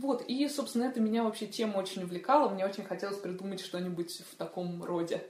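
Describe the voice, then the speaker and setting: Over noticeable background noise and audible room echo, a woman speaks very fast at a medium pitch with ordinary pitch variation. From Moscow, Russia. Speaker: children's fantasy author. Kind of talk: casual chat. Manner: animated.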